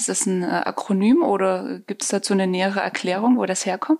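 At a moderate pace, a woman with a plain, everyday voice speaks at a medium pitch with lively intonation. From eastern Germany. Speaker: podcast host. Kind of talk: interview.

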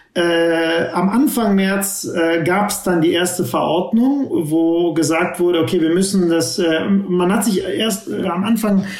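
High-pitched male speech with audible room echo and noticeable background noise. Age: 50s. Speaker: tech entrepreneur. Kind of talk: interview. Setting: remote call from home.

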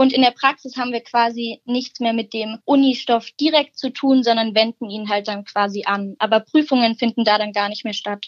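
In an unremarkable speaking voice with a fairly high pitch, a woman talks at a moderate pace with hardly any pauses and fairly even intonation, the sound dry and close with no echo. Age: young. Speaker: dual-study business student. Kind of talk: interview.

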